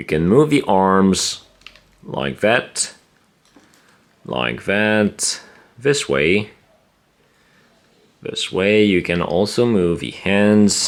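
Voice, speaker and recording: A man's fairly low voice at a very slow pace, with lively intonation and long, frequent pauses. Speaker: toy collector reviewer. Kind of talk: unboxing review.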